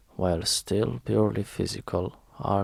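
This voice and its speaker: A man speaks softly in an Eastern European accent. Vocal fry runs through his voice. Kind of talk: audiobook reading. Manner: soft-spoken, relaxing.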